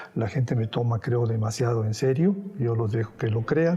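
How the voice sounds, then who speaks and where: A man's ordinary speaking voice at a medium pitch, with ordinary pitch variation and a moderate pace. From Spain, raised in Mexico. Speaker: painter. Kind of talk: interview answer.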